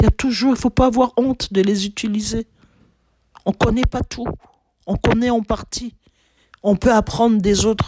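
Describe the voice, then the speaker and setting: Speaking at a moderate pace with long, frequent pauses, a woman uses a fairly high pitch and a dark, mellow tone. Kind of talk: sermon-style teaching. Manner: loud; repetitive, some stammering.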